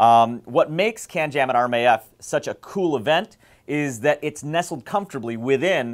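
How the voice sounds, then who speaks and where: An enthusiastic man of medium pitch with lively intonation. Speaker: headphone community founder and video host. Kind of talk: video show presentation. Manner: fast.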